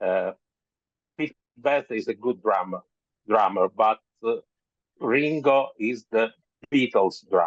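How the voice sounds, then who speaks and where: In a strong Italian accent, a man at a medium pitch speaks very slowly with long, frequent pauses, the sound dry and close with no echo. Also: lively intonation. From Italy. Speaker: author. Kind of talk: interview. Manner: halting.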